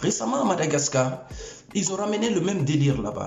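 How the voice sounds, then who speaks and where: A man talks at a fairly quick pace with lively intonation. Noticeable background noise and audible room echo fill the recording. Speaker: YouTube commentator. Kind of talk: opinion rant to camera. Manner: animated.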